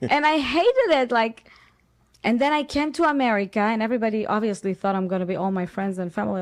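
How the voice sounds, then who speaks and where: In an Israeli accent, a woman with a fairly high pitch speaks very fast with lively intonation. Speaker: actress. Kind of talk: interview. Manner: animated.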